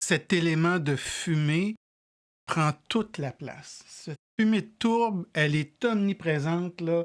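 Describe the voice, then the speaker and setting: On a very clean recording with a silent background, the words come out very slowly. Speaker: whisky tasting show host. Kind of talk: casual tasting chat. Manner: halting, many repetitions.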